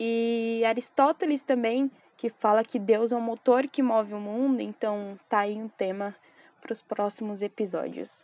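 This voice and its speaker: Fairly high-pitched and fairly slow, a woman speaks in an unremarkable speaking voice with fairly even intonation, the sound dry and close with no echo. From Brazil, São Paulo. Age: 20s. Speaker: podcaster and skateboarder. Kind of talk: casual monologue. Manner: casual slangy.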